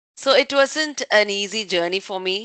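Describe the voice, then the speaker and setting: A woman speaks with a Tamil Indian accent and a bright, sharp tone. The sound is dry and close with no echo, and the background is quiet. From southern India, Tamil Nadu (Pollachi). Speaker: tech industry leader. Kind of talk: online talk session.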